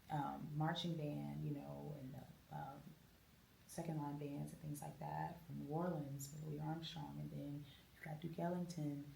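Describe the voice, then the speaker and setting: Audible room echo surrounds the voice. A woman speaks at a fairly slow pace. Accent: American. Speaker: jazz and soul singer. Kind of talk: interview.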